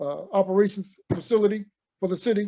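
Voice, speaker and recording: A man speaks in a high pitch. His tone is dark and mellow. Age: 70s. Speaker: Special Forces veteran. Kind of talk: oral history group conversation. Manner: halting.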